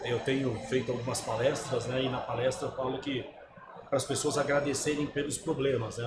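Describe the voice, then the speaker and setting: Amid noticeable background noise and audible room echo, a man at medium pitch talks at a very fast pace with fairly even intonation. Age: 60s. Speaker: sales agency founder. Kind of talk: podcast interview. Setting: trade fair.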